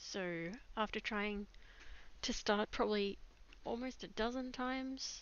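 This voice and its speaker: Soft-spoken and fairly high-pitched, a woman speaks very slowly with long, frequent pauses. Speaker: digital artist streamer. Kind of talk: live stream chat while drawing. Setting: live stream at computer. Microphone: microphone too quiet.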